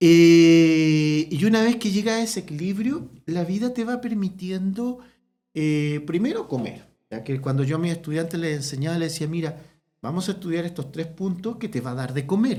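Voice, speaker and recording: A man's high pitch and dark, mellow tone, with lively intonation. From Chile, small town. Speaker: veterinary ophthalmologist. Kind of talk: casual interview chat. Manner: soft-spoken; fast.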